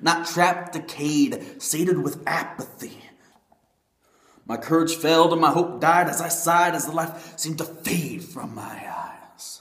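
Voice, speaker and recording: A high-pitched man at a fairly slow pace, with audible room echo. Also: ordinary pitch variation. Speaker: spoken word poet. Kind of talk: spoken word poetry performance. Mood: emotional, earnest, religious. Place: home room. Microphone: webcam.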